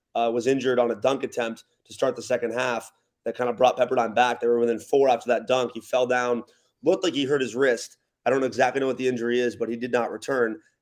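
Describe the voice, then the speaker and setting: Very fast man at medium pitch with an American accent and monotone, flat intonation. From Los Angeles area, California. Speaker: college basketball public address announcer. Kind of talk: sports podcast guest analysis.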